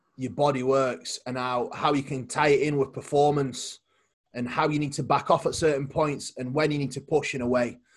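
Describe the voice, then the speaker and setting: A man speaks at a fairly high pitch with a somewhat breathy sound. His pace is moderate, with ordinary pitch variation. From Poland. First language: Polish. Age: 20s. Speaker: bodybuilding coach and competitor. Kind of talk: casual interview chat. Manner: halting, repeats words.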